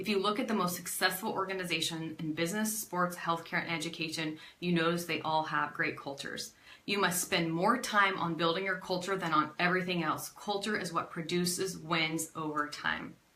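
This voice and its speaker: A woman with a fairly low pitch talks at a fairly quick pace against noticeable background noise. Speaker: network marketing team leader. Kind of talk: live stream motivational talk. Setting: facebook live video. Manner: fast; animated.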